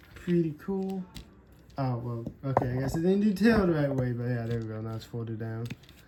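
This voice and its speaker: In a room with audible echo and noticeable background noise, a woman with a very deep, low voice talks at a fairly quick pace, her pitch swinging very widely and her loudness rising and falling sharply. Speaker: toy unboxing youtuber. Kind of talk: casual unboxing commentary.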